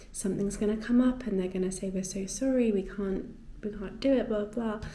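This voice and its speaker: A woman's somewhat breathy voice carries a dark, mellow tone. Her pitch is medium, with ordinary variation. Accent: English. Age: 20s. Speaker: lifestyle vlogger. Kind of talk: casual talk to camera.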